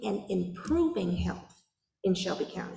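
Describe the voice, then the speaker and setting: A woman speaks fairly slowly with vocal fry, and there is audible room echo. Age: 40s. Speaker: public health official. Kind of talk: public meeting Q&A answer. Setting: church meeting with audience.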